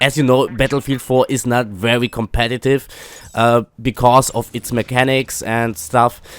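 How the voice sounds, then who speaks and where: A man speaks at a moderate pace with fairly even intonation, in a dry, close sound with no echo. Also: medium pitch for a man. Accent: German. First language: German. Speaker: gaming YouTuber. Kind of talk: casual commentary. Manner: halting, many fillers.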